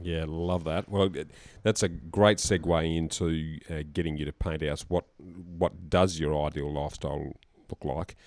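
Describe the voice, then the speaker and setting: A man speaks with an Australian accent at a fairly slow pace, his pitch very deep and low. His intonation stays fairly even, and the recording is very clean with a silent background. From Australia, Adelaide. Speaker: podcast host. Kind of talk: podcast interview.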